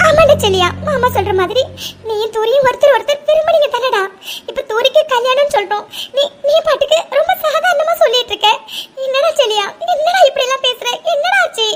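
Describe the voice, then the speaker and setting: A woman uses a cartoonish character voice, pitched extremely high, with lively intonation. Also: moderate pace. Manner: emotional, repeatedly questioning.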